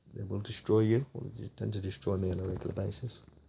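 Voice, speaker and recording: Very deep and low, a man's dark, mellow voice with vocal fry moves at a fairly quick pace with ordinary pitch variation. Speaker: gaming youtuber. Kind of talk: gameplay commentary. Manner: casual, animated.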